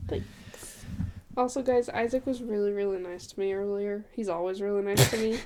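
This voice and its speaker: A woman speaks in a normal speaking voice at a medium pitch. She moves at a fairly quick pace with ordinary pitch variation. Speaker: podcast co-host. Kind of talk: casual chat.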